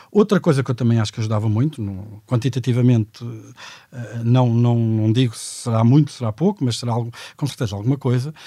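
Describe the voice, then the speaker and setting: Moving at a very fast pace, the speech carries a dark, mellow tone. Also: man, medium pitch for a man, ordinary pitch variation. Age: 40s. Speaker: economist. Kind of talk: panel discussion.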